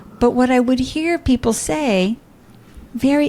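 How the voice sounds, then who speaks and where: A woman speaks at a moderate pace in a dark, mellow, somewhat breathy voice, her pitch swinging very widely. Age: 60s. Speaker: entrepreneur and podcaster. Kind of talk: interview conversation. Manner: animated.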